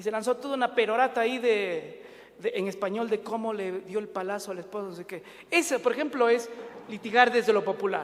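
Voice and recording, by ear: At a fairly quick pace, a man talks with a high pitch. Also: ordinary pitch variation, few pauses.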